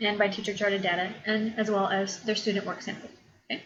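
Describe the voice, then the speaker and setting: A woman talks at a very fast pace. Her pitch sits fairly high. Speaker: college instructor. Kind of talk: lecture.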